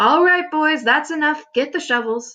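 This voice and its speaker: A woman uses a put-on character voice, loud and high-pitched, with ordinary pitch variation. She keeps a moderate pace against a quiet background. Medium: read story. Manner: loud, boisterous.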